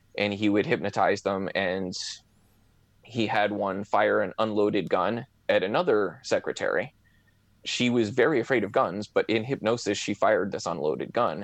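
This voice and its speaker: Over a quiet background, a man talks at a moderate pace in a plain, everyday voice. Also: fairly low pitch for a man, ordinary pitch variation. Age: 30s. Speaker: amateur hypnotist and online forum moderator. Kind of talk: casual interview.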